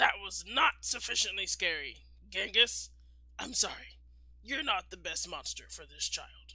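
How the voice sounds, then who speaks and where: The speaker uses a raspy, put-on character voice. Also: moderate pace. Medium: read story. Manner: formal, instructive.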